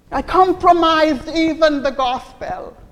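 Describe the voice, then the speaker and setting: A high-pitched woman in a theatrical, animated tone with ordinary pitch variation, over noticeable background noise. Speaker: pastor. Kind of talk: first-person dramatic sermon monologue in character as a remorseful bride. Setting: church. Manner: anguished, pleading self-reproach with repeated rhetorical questions; theatrical, animated storytelling with laughter and voiced characters.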